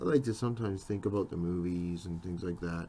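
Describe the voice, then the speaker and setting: Very deep, low male voice with a dark, mellow tone and a Canadian accent. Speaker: comic book inker. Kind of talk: tutorial. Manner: casual, chatty.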